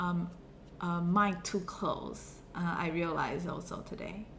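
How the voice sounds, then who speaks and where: There is audible room echo around the woman as she talks. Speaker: university lecturer. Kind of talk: lecture. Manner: hesitant, many fillers.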